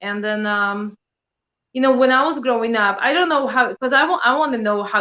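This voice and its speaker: Talking at a fairly quick pace, a woman with a Polish accent has a bright, sharp tone and ordinary pitch variation. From Poland. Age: 30s. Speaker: prepping channel creator. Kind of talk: casual interview chat.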